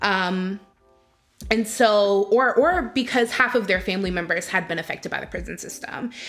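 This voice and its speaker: With music in the background, a woman with an American accent speaks at a moderate pace and a medium pitch. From Charlottesville, Virginia, US South. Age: 20s. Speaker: activist and organizer. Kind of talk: unedited personal reflection to camera.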